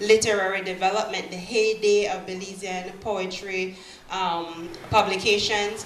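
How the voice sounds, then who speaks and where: At a moderate pace, a woman with a medium-pitched voice speaks in a monotone, flat intonation over noticeable background noise. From Belize. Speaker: writer and poet. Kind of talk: poetry reading.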